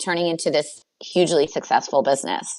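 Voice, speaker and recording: A woman with an American accent speaks at a moderate pace, her pitch varying in an ordinary way. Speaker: business coach. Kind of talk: interview.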